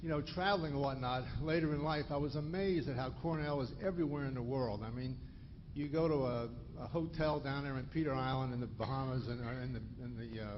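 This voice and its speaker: A very fast man's voice at medium pitch, with ordinary pitch variation and audible room echo. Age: 60s. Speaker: retired physician, audience member asking a question. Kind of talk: audience question at a lecture. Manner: halting, many restarts.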